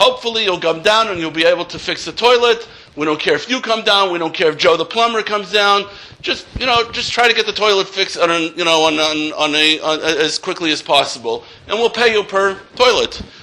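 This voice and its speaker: A man speaks in a raised, projected voice pitched high, at a fairly quick pace. Noticeable background noise can be heard. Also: ordinary pitch variation. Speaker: accountant and college lecturer. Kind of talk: workshop lecture. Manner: loud.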